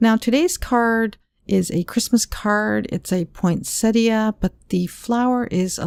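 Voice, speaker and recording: A woman speaks quietly. Her pace is fairly slow. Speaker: card making crafter. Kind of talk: craft tutorial talk to camera. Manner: quiet, lowered voice.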